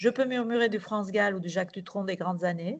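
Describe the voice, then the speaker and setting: A woman speaks at a moderate pace with a Turkish accent, her pitch medium and its variation ordinary. The background is quiet. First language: Turkish (speaking French). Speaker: novelist and playwright. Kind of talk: reading aloud.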